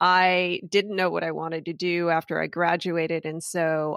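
Speaking at a moderate pace, a woman with an American accent has a fairly low pitch. The recording is very clean with a silent background, and the sound is dry and close with no echo. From US West Coast, Los Angeles area. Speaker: orthopedic surgeon. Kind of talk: casual interview.

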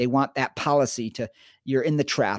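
Here a man talks at a medium pitch with ordinary pitch variation. The recording is very clean with a silent background and a dry, close sound with no echo. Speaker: addiction program co-founder, podcast co-host. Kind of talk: casual chat. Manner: talkative, dominates the conversation.

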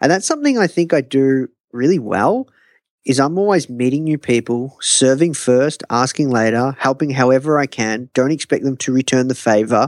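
A man with an Australian accent talks at a moderate pace with ordinary pitch variation and very even loudness. The recording is very clean and dry, with a close sound, no echo and a silent background. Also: medium pitch for a man. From Australia, Melbourne. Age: young. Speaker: entrepreneur. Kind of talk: interview. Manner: animated.

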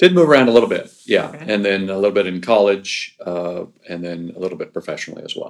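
Very fast, nearly pauseless speech with an American accent and big swings in loudness. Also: man. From Southern California. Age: 50s. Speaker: race director. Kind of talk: casual interview. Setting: office.

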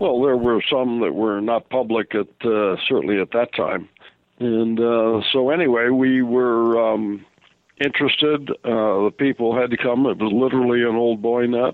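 A man has a normal speaking voice at a medium pitch, with fairly even intonation. He keeps a moderate pace and very even loudness. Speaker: author and UFO researcher. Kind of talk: radio interview.

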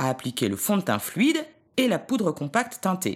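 A woman at a medium pitch uses vocal fry and very wide pitch swings on a very clean recording with a silent background. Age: 40s. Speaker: image consultant, volunteer. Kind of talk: scripted narration of beauty tips.

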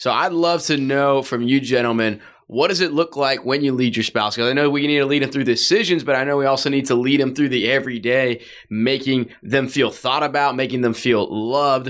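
A man with an unremarkable speaking voice talks at a medium pitch and a fairly quick pace, his intonation fairly even. The recording is very clean, with a silent background. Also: very even loudness. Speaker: newlywed guest. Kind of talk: casual chat.

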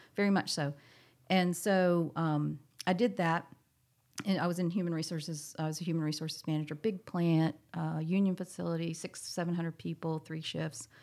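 In an ordinary speaking voice, a woman talks at a moderate pace. Her pitch is fairly low and her intonation fairly even. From US South, moved often as army child. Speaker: boat company co-founder and executive. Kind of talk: casual interview.

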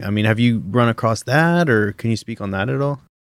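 Recorded very cleanly against a silent background, a man with a Canadian accent and a normal speaking voice talks at a moderate pace in a fairly low pitch. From Canada. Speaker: drilling fluids engineer, podcast co-host. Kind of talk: casual chat.

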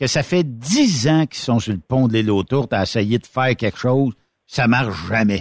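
On a very clean recording with a silent background, a man with a normal speaking voice talks at a medium pitch, a moderate pace and ordinary pitch variation. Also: dry, close sound with no echo. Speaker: radio host. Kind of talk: casual chat.

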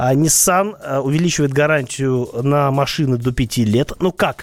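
A man's voice shows ordinary pitch variation, with noticeable background noise underneath. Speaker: radio host and car expert. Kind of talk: radio talk show answering listener questions.

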